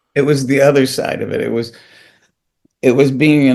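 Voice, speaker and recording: A man's flat monotone at a medium pitch, with an American accent. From United States. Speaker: comedian, actor and director. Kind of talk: interview answer.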